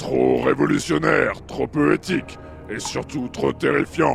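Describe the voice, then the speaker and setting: With clear music in the background, a man performs a put-on character voice at a moderate pace. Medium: audio drama. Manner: cold, contemptuous.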